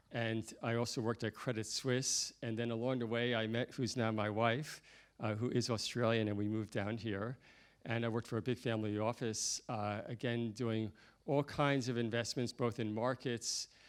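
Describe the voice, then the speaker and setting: In a New York accent, a man speaks at medium pitch and a moderate pace with monotone, flat intonation. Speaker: professional investor. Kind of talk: panel discussion.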